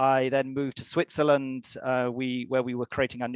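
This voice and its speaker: A medium-pitched man with a British accent at a moderate pace, with a dry, close sound and no echo. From UK. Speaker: HR executive. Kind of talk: webinar interview.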